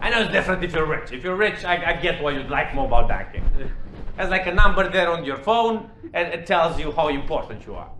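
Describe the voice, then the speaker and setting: Over noticeable background noise and audible room echo, a man with a Romanian accent talks at a very fast pace in a high pitch, with ordinary pitch variation. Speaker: stand-up comedian. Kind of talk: stand-up. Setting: stage with audience.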